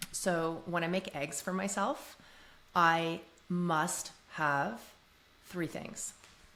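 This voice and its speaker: A woman with a Canadian accent and a fairly low pitch, at a very slow pace broken by long, frequent pauses. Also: ordinary pitch variation. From Canada, Toronto. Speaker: podcast guest. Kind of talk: casual interview chat.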